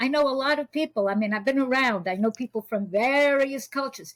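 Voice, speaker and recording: A woman with a New York accent, high-pitched, ordinary pitch variation, dry and close sound with no echo. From US Northeast (New York). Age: 80s+. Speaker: spiritual teacher and intuitive reader. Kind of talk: interview conversation.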